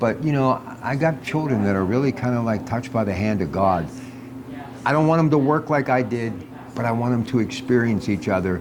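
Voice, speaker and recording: A man at a fairly quick pace with ordinary pitch variation, against noticeable background noise. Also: medium pitch for a man. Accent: American. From Pittsburgh area, US. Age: 60s. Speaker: radio host. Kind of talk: casual chat. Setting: on location at a restaurant.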